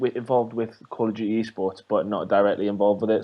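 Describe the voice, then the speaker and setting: A man speaks at a very fast pace in a dark, mellow tone. His fairly low voice stays monotone and flat. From Britain. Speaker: esports journalist. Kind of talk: casual chat.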